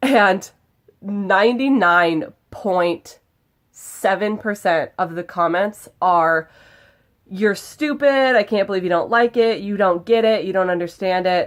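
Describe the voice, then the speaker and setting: On a very clean recording with a silent background, a woman speaks in an animated tone at a fairly slow pace, at medium pitch with ordinary pitch variation. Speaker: video blogger. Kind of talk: casual vlog talk. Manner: loud.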